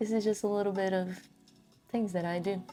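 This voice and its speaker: A soft-spoken woman with a Brazilian Portuguese accent speaks at a medium pitch in a monotone, flat intonation, with music in the background. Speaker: crafting vlogger. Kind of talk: casual monologue while crafting. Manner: relaxed, meandering.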